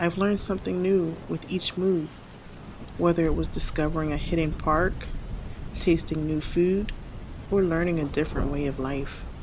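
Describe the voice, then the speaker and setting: A soft-spoken woman with a fairly low pitch talks with fairly even intonation and long, frequent pauses over noticeable background noise. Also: moderate pace. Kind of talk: spoken word sleep reading.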